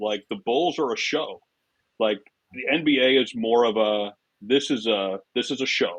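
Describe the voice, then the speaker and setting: Speaking at a fairly slow pace, a man uses an ordinary speaking voice with a medium pitch and ordinary pitch variation. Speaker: public address announcer. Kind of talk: interview answer. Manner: casual, conversational.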